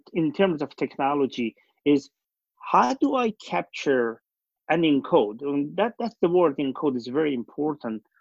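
Speaking fairly slowly with a Persian accent, a man's pitch swings very widely in a dry, close recording with no echo. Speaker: company founder and CEO. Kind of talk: casual interview conversation. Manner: halting, with many fillers.

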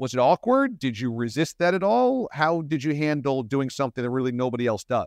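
A man with a plain, everyday voice talks at a fairly high pitch and a fairly quick pace with ordinary pitch variation and hardly any pauses, the sound dry and close with no echo over a quiet background. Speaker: podcast host and radio host. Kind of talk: casual interview.

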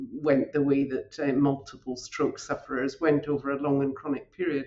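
Using a very deep, low pitch, a woman talks at a moderate pace with a Scottish accent. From northern Scotland. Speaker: hematologist. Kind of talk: interview. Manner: halting.

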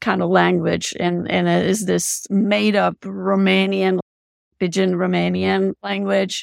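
Someone speaks with a Czech accent in a dry, close sound with no echo. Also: woman. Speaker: film distributor, subtitle translator. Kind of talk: interview.

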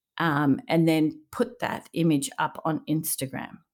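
A woman speaks at a very deep, low pitch on a very clean recording with a silent background. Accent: Australian. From Melbourne, Australia. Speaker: interior designer. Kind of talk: interview conversation.

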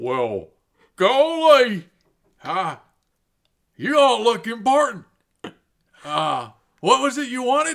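In a put-on character voice, a man speaks at an extremely high pitch with lively intonation, at a very slow pace with long, frequent pauses. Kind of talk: rustic comic characterization. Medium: actual play. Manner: folksy, slow, drawling.

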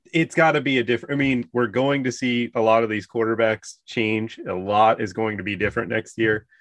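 A man uses an ordinary speaking voice at a medium pitch and moderate pace, with ordinary pitch variation, hardly any pauses, a quiet background and a dry, close sound with no echo. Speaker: fantasy sports analyst. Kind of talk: casual sports podcast chat.

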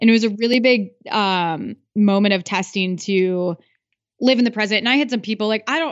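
In an American accent, a woman with an unremarkable speaking voice talks at a fairly quick pace, her medium pitch showing ordinary variation. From Iowa. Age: 30s. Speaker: podcaster and business coach. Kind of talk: interview.

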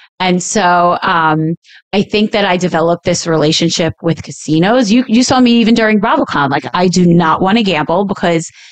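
A woman's fairly low voice with an American accent, a normal speaking voice at a moderate pace. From New York (Staten Island). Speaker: podcast co-host, reality TV personality. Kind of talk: casual chat.

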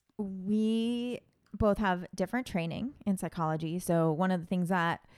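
In a very clean recording with a silent background, a woman uses a normal speaking voice with lively intonation. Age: 30s. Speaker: school psychologist and podcast co-host. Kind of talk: casual chat. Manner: frequent laughter.

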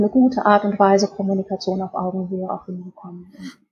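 Speaking very fast, a woman has a somewhat breathy voice at a medium pitch. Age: 40s. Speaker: organisational development consultant. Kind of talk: interview.

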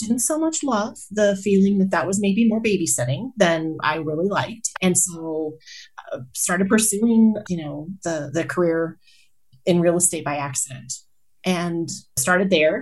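A woman's fairly low, somewhat breathy voice with an American accent at a fairly slow pace. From Colorado, US. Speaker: healthcare executive and motivational speaker. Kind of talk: casual interview conversation.

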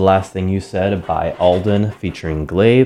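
Over music in the background, a man talks at a fairly slow pace in a fairly low voice with fairly even intonation. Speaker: radio DJ. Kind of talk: casual radio DJ talk between songs. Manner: relaxed, conversational with many fillers.

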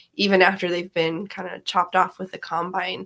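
With an American accent, a woman talks fairly quickly at a medium pitch, her tone bright and sharp with vocal fry.

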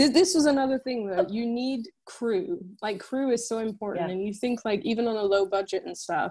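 A woman's fairly high, dark and mellow voice with an American accent, fairly quick with hardly any pauses and lively intonation. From France. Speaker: filmmaker and editor. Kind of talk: casual interview chat. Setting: remote call from London.

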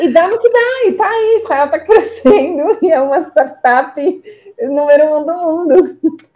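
Extremely high pitch from a woman, with very wide pitch swings at a fairly slow pace. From Israel. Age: 40s. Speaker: university representative. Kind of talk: interview.

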